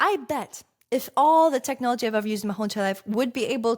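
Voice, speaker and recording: Animated and at a very fast pace, a woman with a slight Russian accent speaks in a fairly high pitch on a very clean recording with a silent background. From Russia, Saint Petersburg. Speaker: success coach and content creator. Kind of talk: podcast monologue.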